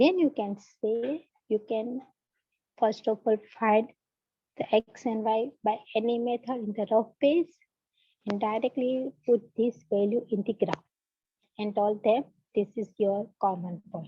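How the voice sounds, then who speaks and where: A woman with a Gujarati accent, fairly high in pitch with ordinary pitch variation, at a fairly slow pace with long, frequent pauses. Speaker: math teacher. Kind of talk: online lecture. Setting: online class. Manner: loud. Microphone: students report audio problem with her voice.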